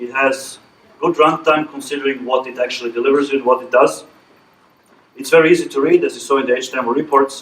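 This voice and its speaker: Big swings in loudness mark this man's speech, delivered at a very fast pace. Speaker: conference presenter, verification engineer. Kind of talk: technical presentation with Q&A.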